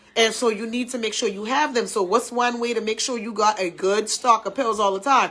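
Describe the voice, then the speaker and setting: Over noticeable background noise, a woman with a fairly high pitch speaks in an animated tone at a moderate pace. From US South. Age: 30s. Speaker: talk show host. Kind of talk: casual chat.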